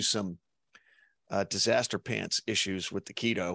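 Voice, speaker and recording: A man's voice shows vocal fry, with a dry, close sound, no echo, and a quiet background. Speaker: podcast host. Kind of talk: interview.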